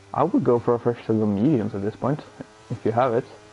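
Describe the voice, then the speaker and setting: A man with a Swedish accent speaks at a medium pitch. Noticeable background noise runs under his voice. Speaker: sim racing commentator. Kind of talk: live commentary.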